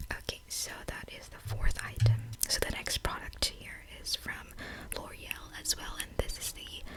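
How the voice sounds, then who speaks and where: Noticeable background noise surrounds a woman who whispers fairly slowly. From Filipino Canadian. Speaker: ASMR vlogger / beauty and lifestyle creator. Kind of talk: ASMR makeup haul and unboxing, casual talk to camera. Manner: friendly, conversational; whispering.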